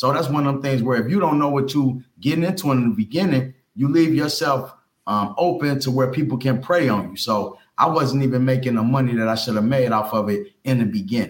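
This man has a medium pitch and lively intonation, talking at a fairly quick pace. His voice is somewhat breathy, with very even loudness. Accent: American. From US Midwest, Cincinnati, Ohio. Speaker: ex-offender turned entrepreneur and youth mentor. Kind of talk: interview, life story.

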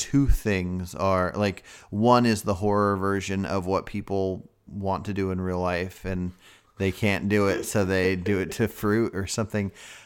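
A man speaks at a fairly slow pace with a fairly low pitch and a normal speaking voice. The recording is very clean, with a silent background. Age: 30s. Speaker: horror film podcast co-host. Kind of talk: casual chat.

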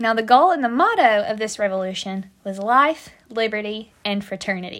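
A woman's animated, fairly high-pitched voice in an American accent, with lively intonation at a moderate pace. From United States. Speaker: podcast host, history storyteller. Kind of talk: casual scripted-style history podcast monologue. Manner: animated, humorous, chatty.

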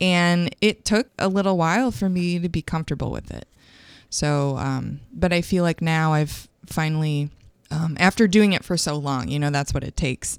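A woman with a US Midwestern accent, fairly low pitch, ordinary pitch variation, and moderate pace, in a very clean recording with a silent background and a dry, close sound with no echo. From Michigan, US Midwest. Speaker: singer-songwriter. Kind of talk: casual interview chat.

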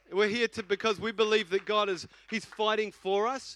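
A man's high-pitched, bright, sharp voice at a moderate pace, animated in tone, in a dry, close sound with no echo. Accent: New Zealand. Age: 40s. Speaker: senior pastor. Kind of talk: casual, conversational Sunday sermon. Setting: church service. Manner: animated, repetitive, filler-laden.

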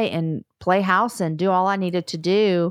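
A woman's unremarkable speaking voice at medium pitch, with fairly even intonation and a dry, close sound free of echo. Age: 40s. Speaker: podcast host and author. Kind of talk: testimony.

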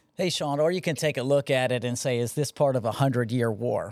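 A man with an American accent in a plain, everyday voice, ordinary pitch variation, a dry, close sound with no echo and a very clean recording with a silent background. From Connecticut. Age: 40s. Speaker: Marine officer and veteran. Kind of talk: casual chat.

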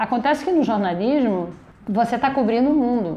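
A woman's fairly high-pitched voice, dark and mellow in tone, at a moderate pace. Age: 50s. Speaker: podcast host and simultaneous interpreter. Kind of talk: interview. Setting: production company office.

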